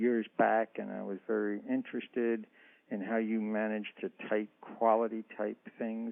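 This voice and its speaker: This man has a normal speaking voice at medium pitch. He talks at a fairly slow pace. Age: 60s. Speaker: author and historian. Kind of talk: interview.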